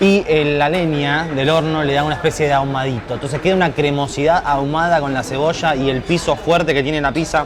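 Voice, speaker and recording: A man with a fairly high pitch talks at a fairly quick pace with hardly any pauses and fairly even intonation. The recording carries audible room echo and noticeable background noise. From Buenos Aires, Argentina. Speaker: food reviewer. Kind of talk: casual food-tasting commentary.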